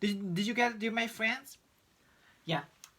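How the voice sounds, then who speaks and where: A man with a Turkish accent speaks in a raised, projected voice with a bright, sharp tone. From Turkey, Istanbul. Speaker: English pronunciation teacher. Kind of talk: tutorial. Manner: halting.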